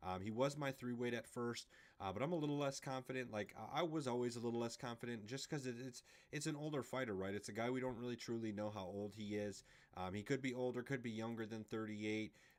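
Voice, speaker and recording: A man at a medium pitch rattles off his words very fast, with ordinary rises and falls in pitch. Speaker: MMA podcast host. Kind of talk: casual sports betting discussion.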